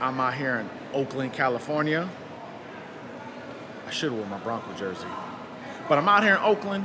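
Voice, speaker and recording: Over noticeable background noise, the speaker talks at a fairly quick pace with very wide pitch swings and long, frequent pauses. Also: man, fairly high pitch for a man. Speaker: DJ and podcast host. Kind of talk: podcast intro to camera. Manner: upbeat.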